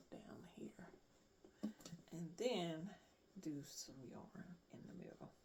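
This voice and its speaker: The tone is relaxed. The pace is very slow. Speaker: crafter making handmade bags. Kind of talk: casual craft tutorial vlog. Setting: at home craft table, early morning. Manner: relaxed, thinking aloud.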